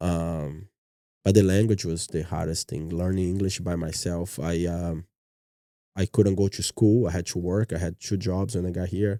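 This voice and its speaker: A man's very deep, low voice with a dark, mellow tone and a Brazilian Portuguese accent, at a moderate pace with fairly even intonation, on a very clean recording against a silent background. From Brazil, Minas Gerais. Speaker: martial arts gym owner. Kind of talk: podcast interview. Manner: soft-spoken.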